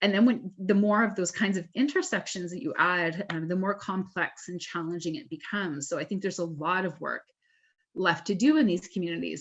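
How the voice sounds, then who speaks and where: Against a quiet background, a woman speaks fairly quickly in a fairly low pitch with ordinary pitch variation. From Southwestern Ontario, Canada. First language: French. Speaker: academic panel moderator. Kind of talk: webinar Q&A moderation.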